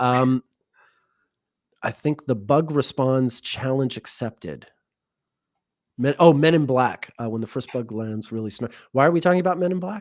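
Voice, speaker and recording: With an American accent, a man speaks at a medium pitch and moderate pace, his intonation lively, broken by long, frequent pauses. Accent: more American-sounding than co-host. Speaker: astrologer, livestream co-host. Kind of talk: casual chat. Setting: livestream.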